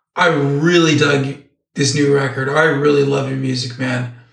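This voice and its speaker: A man with an American accent talks at a fairly high pitch with fairly even intonation. Room echo is audible. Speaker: podcast co-host. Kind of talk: casual chat.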